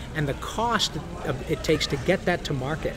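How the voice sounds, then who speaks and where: Over noticeable background noise, a man with an American accent talks at a moderate pace and a fairly high pitch. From Michigan. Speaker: voice actor. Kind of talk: interview answer. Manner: casual, conversational.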